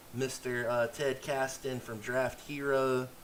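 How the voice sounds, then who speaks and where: A man talks at a very slow pace with medium pitch. Noticeable background noise runs behind him. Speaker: fantasy football streamer. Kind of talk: live stream commentary. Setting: live stream. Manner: casual, filler-heavy.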